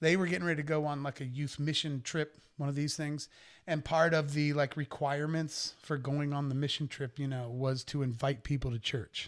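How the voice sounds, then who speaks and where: In a very clean recording with a silent background, a man with a normal speaking voice, fairly high in pitch, talks at a fairly quick pace with fairly even intonation. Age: 50s. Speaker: rock singer. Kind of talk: casual chat.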